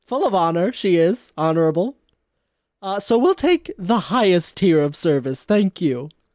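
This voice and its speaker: A woman with an unremarkable speaking voice and lively intonation, dry and close with no echo, on a very clean recording with a silent background. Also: medium pitch for a woman, moderate pace. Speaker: player in a tabletop role-playing game. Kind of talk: casual, joking role-play banter.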